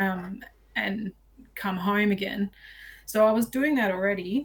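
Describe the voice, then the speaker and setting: A woman speaks at medium pitch. She has an Australian accent. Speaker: outdoor filmmaker and bow hunter. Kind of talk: podcast interview. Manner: loud; chatty.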